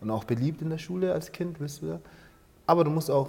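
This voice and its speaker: The man speaks in a dark, mellow tone. The variation in his pitch is ordinary. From Angola, grew up in Germany from age 7. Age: 30s. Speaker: dancer and founder of a hip-hop organisation. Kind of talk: interview. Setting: dance studio. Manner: halting, many fillers.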